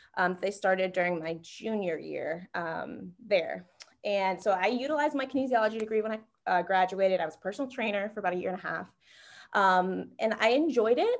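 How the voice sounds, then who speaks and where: A woman talks at a fairly quick pace in a normal speaking voice with an American accent. Her pitch is medium, with ordinary variation. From North Carolina. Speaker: sports partnerships manager. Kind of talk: interview.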